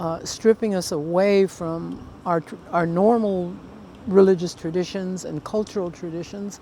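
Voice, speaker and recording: With an unremarkable speaking voice, a woman of medium pitch keeps a moderate pace and fairly even intonation. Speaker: Native leader. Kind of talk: interview.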